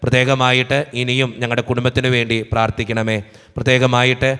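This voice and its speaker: The background is quiet as a man speaks at a medium pitch. His intonation stays monotone and flat. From Kerala, India. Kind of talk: prayer service, reading out prayer requests. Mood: calm devotional. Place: church. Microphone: podium.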